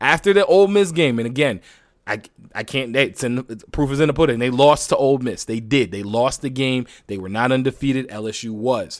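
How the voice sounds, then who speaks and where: A man speaks fairly quickly at a medium pitch with lively intonation. The recording is very clean, with a silent background. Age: 20s. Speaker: sports podcast host. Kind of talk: solo sports commentary podcast. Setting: home studio. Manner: animated.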